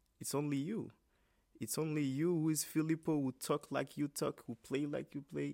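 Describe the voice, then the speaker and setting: In a Haitian accent, a man with a fairly high pitch speaks in a dark, mellow tone at a moderate pace with fairly even intonation. The sound is dry and close with no echo, a very clean recording with a silent background. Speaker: trumpet player. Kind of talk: interview. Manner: halting.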